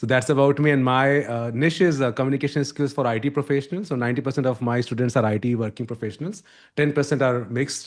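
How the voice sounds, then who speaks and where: A man with an Indian accent and a medium pitch talks at a very fast pace with hardly any pauses and ordinary pitch variation against a quiet background. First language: Hindi. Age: 40s. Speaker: communication coach. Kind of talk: podcast interview.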